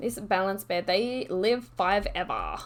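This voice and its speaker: A woman speaks with a slight Australian accent and vocal fry. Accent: subtle Australian. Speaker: video game streamer. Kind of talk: gameplay commentary. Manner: casual, chatty with many fillers.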